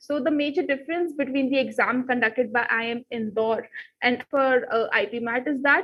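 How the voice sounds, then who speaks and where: A woman with an Indian accent speaks in a high voice at a moderate pace with fairly even intonation. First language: Hindi. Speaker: exam prep teacher. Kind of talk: live online class.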